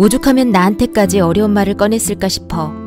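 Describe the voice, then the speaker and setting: Over music in the background, a woman speaks in a calm, soothing tone at a medium pitch. Her pitch variation is ordinary. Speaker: voice actor. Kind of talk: bedtime story reading.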